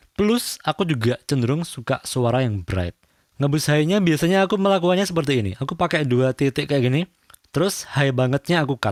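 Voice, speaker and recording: Lively intonation from a man at a fairly quick pace, dry and close with no echo, on a very clean recording with a silent background. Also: very even loudness. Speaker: audio tutorial youtuber. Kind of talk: tutorial.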